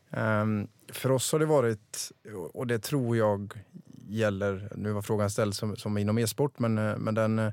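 Here a man has a normal speaking voice, with medium pitch and a moderate pace. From rural Sweden, small village. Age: 30s. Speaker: restaurant entrepreneur. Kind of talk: interview.

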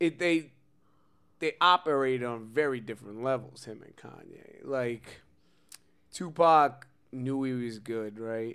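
With a New York accent, a man speaks at a medium pitch and a fairly slow pace. Long, frequent pauses and big swings in loudness run through his speech. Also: ordinary pitch variation. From Brooklyn, New York. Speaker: podcast co-host. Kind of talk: casual chat.

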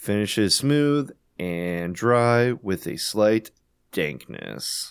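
Very slowly, a man speaks in a fairly low pitch with lively intonation, in a very clean recording over a silent background. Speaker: podcast host. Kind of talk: casual chat.

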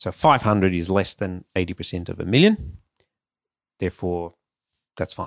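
A man speaks with an Australian accent at a moderate pace and a very deep, low pitch, with long, frequent pauses. The recording is very clean, with a silent background. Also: ordinary pitch variation, dry, close sound with no echo. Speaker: financial adviser. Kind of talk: advice segment.

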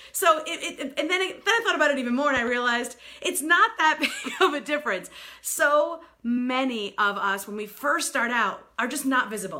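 A woman with a New York accent speaks at a moderate pace in a high, raised, projected voice, her animated, enthusiastic tone swinging very widely in pitch. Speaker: sales strategist and speaker. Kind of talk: live broadcast presentation. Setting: live video broadcast.

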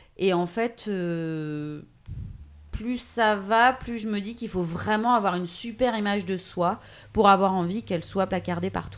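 On a very clean recording with a silent background, a woman talks at a fairly slow pace at medium pitch with ordinary pitch variation. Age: 30s. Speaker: voice-over artist. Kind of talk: interview. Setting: at her home.

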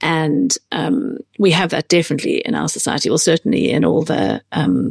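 A woman speaks with a British accent at a moderate pace. The sound is dry and close, with no echo. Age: 40s. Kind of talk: interview conversation.

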